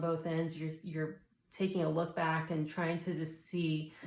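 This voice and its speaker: A woman's fairly low, monotone voice with flat intonation, plus audible room echo. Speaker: tarot reader. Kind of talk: tarot reading.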